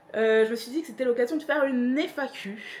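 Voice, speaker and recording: Noticeable background noise sits behind this recording. A woman talks at a fairly slow pace with lively intonation. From northern France, Pas-de-Calais. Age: 30s. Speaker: vlogger. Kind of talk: casual Q&A vlog. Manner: hesitant, many fillers.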